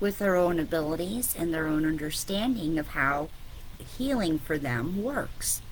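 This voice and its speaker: In a fairly slow delivery, a woman speaks with audible room echo. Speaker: spiritual business coach. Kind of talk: online coaching talk. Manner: casual, filler-heavy.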